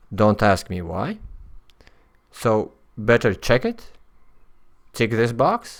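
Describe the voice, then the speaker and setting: On a very clean recording with a silent background, a man with a Latvian accent talks at a very slow pace and a fairly low pitch. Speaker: software developer. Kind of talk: tutorial. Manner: halting, many fillers.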